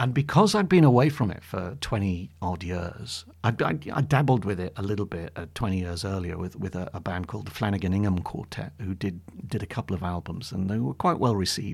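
Talking at a fairly quick pace with hardly any pauses, a man uses a fairly low, somewhat breathy voice and lively intonation. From northeast England then Suffolk. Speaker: jazz pianist and author. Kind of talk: casual interview chat.

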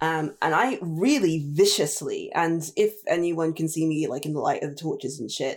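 A woman speaks at a moderate pace with an English accent, her pitch fairly low. The recording is very clean with a silent background. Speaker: tabletop game player. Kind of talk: tabletop roleplaying game session.

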